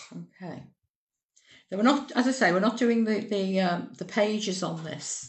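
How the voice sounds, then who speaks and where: Audible room echo surrounds a woman's voice. She speaks with vocal fry at a moderate pace. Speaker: cake decorating tutor. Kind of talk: tutorial.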